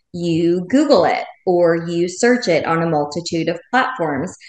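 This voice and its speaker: Using a normal speaking voice, a woman talks at a fairly slow pace in a fairly low pitch with ordinary pitch variation. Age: 40s. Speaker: former teacher turned education entrepreneur. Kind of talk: interview.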